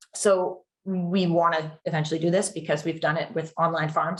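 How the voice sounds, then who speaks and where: A woman with a fairly low pitch speaks in a somewhat breathy voice with monotone, flat intonation. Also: hardly any pauses. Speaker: carbon credit program specialist. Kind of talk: webinar presentation. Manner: fast.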